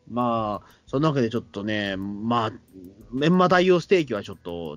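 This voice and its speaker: Music can be heard behind the speaker. A man's pitch swings very widely as he talks. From Tokyo, Katsushika (shitamachi). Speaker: podcast host. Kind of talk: casual chat. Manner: halting, many fillers.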